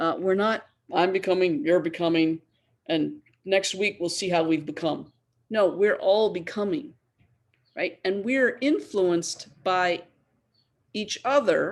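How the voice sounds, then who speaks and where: A woman speaks at a medium pitch and a fairly slow pace with lively intonation, pausing long and often. The recording is very clean, with a silent background. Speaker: theology professor. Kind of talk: lecture.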